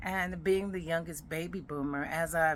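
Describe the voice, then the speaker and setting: A woman is speaking. Her voice has vocal fry. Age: 60s. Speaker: podcast host, retired military veteran. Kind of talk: personal podcast monologue. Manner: conversational.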